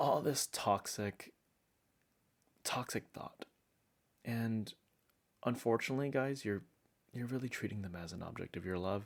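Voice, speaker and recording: Soft-spoken and at a moderate pace, a man talks with ordinary pitch variation in a very clean recording with a silent background. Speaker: relationship advice YouTuber. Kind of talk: conversational advice talk to camera.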